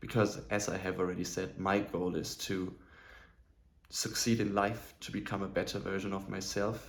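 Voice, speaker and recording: With a non-native accent, a man speaks at a moderate pace in a fairly low, monotone, flat voice, with audible room echo. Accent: non-native speaker of English. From southern Germany. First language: German. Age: 20s. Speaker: self-improvement vlogger. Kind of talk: personal vlog monologue.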